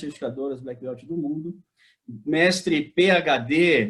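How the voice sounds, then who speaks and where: A man with a normal speaking voice talks at a fairly slow pace, his pitch fairly high. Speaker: business administrator and consultant. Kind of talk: podcast host introduction.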